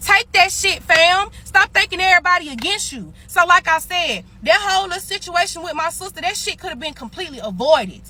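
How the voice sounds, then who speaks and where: In a Mississippi accent, a woman speaks in an extremely high, raised and projected voice with an animated tone, big swings in loudness, ordinary pitch variation, a fairly quick pace, and hardly any pauses. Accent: Mississippi, aggressive-sounding. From US South (Mississippi). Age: 20s. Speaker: social media storyteller. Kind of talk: heated rant.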